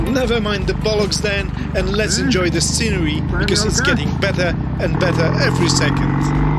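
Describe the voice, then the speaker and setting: Loud background noise sits behind a man's voice. The sound is dry with no echo. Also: fairly quick pace. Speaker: motorcycle rider vlogger. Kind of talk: casual vlog commentary. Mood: cheerful, relaxed. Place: motorbike. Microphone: helmet.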